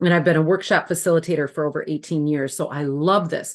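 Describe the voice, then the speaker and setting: A woman with a Wisconsin accent speaks over a quiet background. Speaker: former school administrator and workshop facilitator. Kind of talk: webinar presentation.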